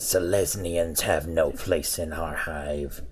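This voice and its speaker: A man's put-on character voice, very deep and low, at a fairly slow pace. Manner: rude, hostile.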